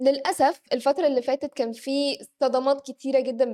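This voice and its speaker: A woman's tone is dark and mellow. She speaks at a moderate pace. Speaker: news show co-host. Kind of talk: live news reading. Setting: studio, live stream.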